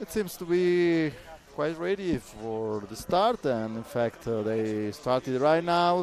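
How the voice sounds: This man has a fairly high pitch and a slightly mellow tone. He speaks at a slow pace with lively intonation.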